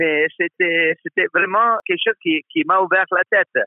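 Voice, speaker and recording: Speaking at a fairly slow pace, a man with an Italian accent uses a high pitch and ordinary pitch variation. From northern Italy (Trentino, Val di Fiemme). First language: Italian (speaking French). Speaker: former Olympic figure skater and coach. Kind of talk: interview. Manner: halting, with repetitions and fillers.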